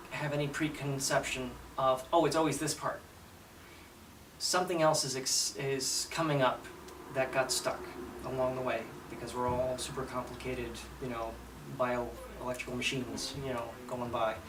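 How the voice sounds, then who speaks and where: Medium-pitched male speech at a moderate pace with fairly even intonation and long, frequent pauses, plus audible room echo and noticeable background noise. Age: 40s. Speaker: patient giving testimonial. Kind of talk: testimony. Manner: halting, many fillers.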